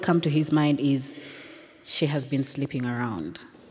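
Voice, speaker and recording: Noticeable background noise behind a woman's moderate-speed delivery. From Uganda, Kampala. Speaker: storyteller. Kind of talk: live storytelling.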